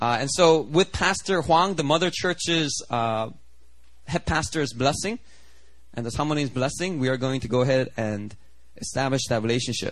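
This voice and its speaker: With lively intonation and an animated tone, a man with a fairly high pitch talks at a moderate pace. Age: 30s. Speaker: pastor. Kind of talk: sermon. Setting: church.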